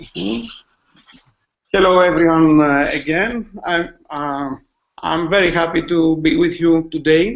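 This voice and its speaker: With a high pitch and ordinary pitch variation, a man speaks at a fairly slow pace, leaving long, frequent pauses. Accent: Greek. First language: Greek. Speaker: school IT manager and teacher. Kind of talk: webinar presentation. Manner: halting, many fillers.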